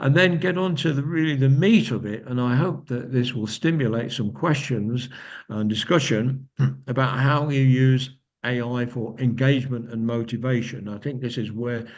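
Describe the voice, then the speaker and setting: With audible room echo, a man speaks at a moderate pace and medium pitch with ordinary pitch variation. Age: 70s. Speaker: company founder and speaker. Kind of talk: lecture. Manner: halting.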